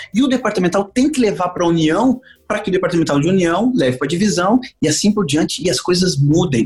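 This man speaks at a very fast pace with a high-pitched voice. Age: 40s. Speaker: evangelist pastor. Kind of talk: casual interview.

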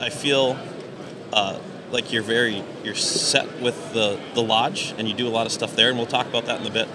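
A man rattles off words very quickly in a fairly flat, even melody while noticeable noise carries on around him. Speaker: podcast host. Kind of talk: casual interview chat. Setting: live at ice show.

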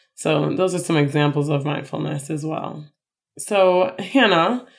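A woman with an American accent speaks at a fairly slow pace. Her voice is fairly low-pitched, with vocal fry. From Chicago, US Midwest. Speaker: podcast co-host. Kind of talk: casual chat.

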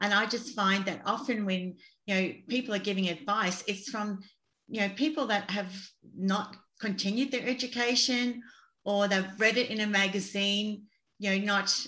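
An ordinary speaking voice from a woman, medium in pitch, with fairly even intonation at a moderate pace. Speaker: podcast host. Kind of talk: interview.

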